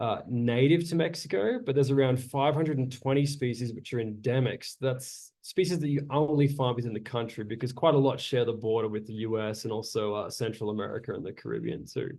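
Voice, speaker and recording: Here a man talks in an Australian accent at a fairly quick pace. His voice is medium in pitch and dark and mellow in tone, with ordinary pitch variation. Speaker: naturalist and botanical tour guide. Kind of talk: lecture.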